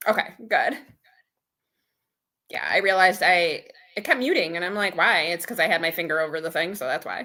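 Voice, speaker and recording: Loud and bright with a sharp tone, a woman speaks at medium pitch and a fairly quick pace, with ordinary pitch variation and long, frequent pauses. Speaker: budgeting livestreamer. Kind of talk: casual livestream chat.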